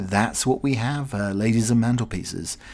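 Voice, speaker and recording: Speaking with a British accent at a moderate pace, a man keeps a fairly low pitch and lively intonation. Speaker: podcast host. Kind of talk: casual solo chat. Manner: rambling, chatty.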